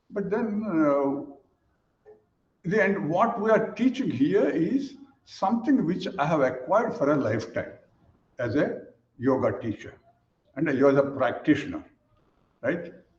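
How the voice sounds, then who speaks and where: In a room with audible echo, a man speaks at a high pitch and a fairly slow pace, with very wide pitch swings and long, frequent pauses. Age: 80s+. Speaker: yoga teacher. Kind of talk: webinar presentation. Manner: halting, repeats words.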